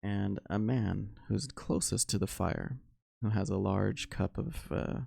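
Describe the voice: The clip is plain reading aloud, its pitch varying in an ordinary way, with little behind it but quiet.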